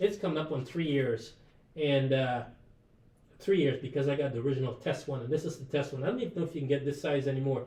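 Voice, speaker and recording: At a very fast pace, a man speaks in a fairly high, somewhat breathy voice with ordinary pitch variation. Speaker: live shopping presenter. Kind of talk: sales pitch. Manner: casual, animated.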